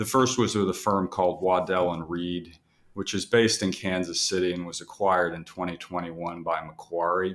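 A man speaks with an American accent at a fairly quick pace. His pitch is very deep and low, with fairly even intonation. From Texas. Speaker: investment and capital markets adviser. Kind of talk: podcast interview.

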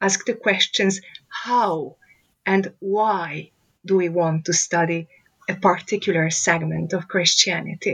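A woman at a very slow pace, with long, frequent pauses, very even loudness and fairly even intonation. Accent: Hungarian. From Romania, Hungarian-speaking village. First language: Hungarian. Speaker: professor. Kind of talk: interview.

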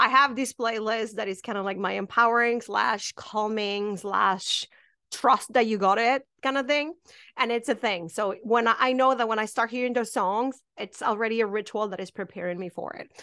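A woman with a Spanish accent speaks at a moderate pace and a fairly high pitch. Her tone is bright and sharp, her intonation fairly even, and the background quiet. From Mexico, small town. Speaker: witch shop owner and spiritual teacher. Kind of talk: casual interview chat. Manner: hesitant with fillers.

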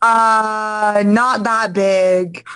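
Her fairly high voice carrying an American accent, a woman speaks with fairly even intonation. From US South, Florida (Orlando area). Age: 20s. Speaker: adult film performer. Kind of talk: casual chat. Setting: video call.

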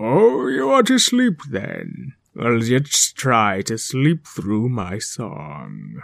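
A put-on character voice from a man, medium in pitch, at a very slow pace with hardly any pauses. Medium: read story. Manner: demanding and self-centred.

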